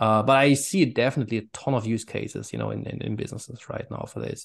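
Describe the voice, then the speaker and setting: A man talks with a German accent. The background is quiet. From Germany. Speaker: author and AI consultant. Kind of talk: interview answers.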